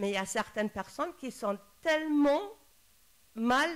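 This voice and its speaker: Here a woman talks at a high pitch with lively intonation. Her pace is very slow. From Germany. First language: German (speaking French). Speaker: psychologist. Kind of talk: panel talk. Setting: round table with audience. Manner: halting, many hesitations.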